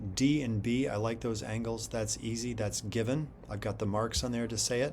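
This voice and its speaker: Audible room echo around a man of medium pitch with ordinary pitch variation. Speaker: math teacher. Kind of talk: tutorial. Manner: casual.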